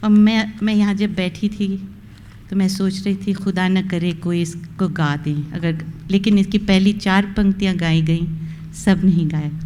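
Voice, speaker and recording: This woman has a normal speaking voice at a medium pitch. Her intonation stays fairly even. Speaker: retiring college principal. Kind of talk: farewell speech.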